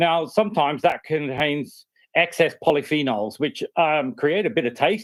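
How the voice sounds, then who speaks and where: In an Australian accent, a man talks at a moderate pace with lively intonation and a fairly high pitch. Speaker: university researcher. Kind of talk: project pitch. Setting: remote video call.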